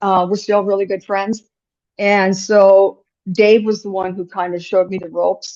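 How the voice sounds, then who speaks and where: Woman with an Upper Midwest accent, medium pitch, moderate pace, and monotone, flat intonation. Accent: Upper Midwest American. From rural North Dakota. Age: 60s. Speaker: business owner. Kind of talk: podcast interview. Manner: talkative.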